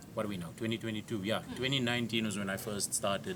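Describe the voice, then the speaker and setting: In a South African accent, a man talks at a very fast pace. His pitch is fairly low and his tone bright and sharp. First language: Afrikaans. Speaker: comedian. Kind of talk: casual chat. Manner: animated.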